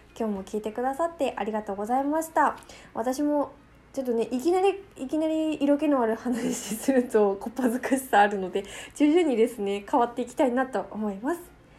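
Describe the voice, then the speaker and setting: Speaking at a fairly quick pace, a woman with a high pitch and a dark, mellow tone uses lively intonation. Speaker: podcast host. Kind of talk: casual monologue. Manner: fast talker.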